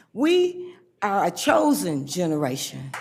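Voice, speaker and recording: With an American accent, a woman speaks using very wide pitch swings. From Flint, Michigan. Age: 70s. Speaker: senior citizen, public commenter. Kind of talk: public comment at a county board meeting. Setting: public meeting.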